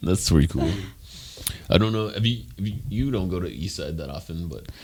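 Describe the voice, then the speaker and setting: With an American accent, the speaker talks at a fairly quick pace with lively intonation and big swings in loudness. Noticeable background noise runs underneath. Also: man, very deep, low pitch for a man. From US West Coast, San Jose. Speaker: podcast host. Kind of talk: casual interview chat.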